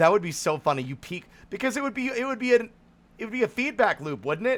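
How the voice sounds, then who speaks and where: Loud, a man talks with very wide pitch swings. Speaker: game streamer. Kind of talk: live gameplay stream chat.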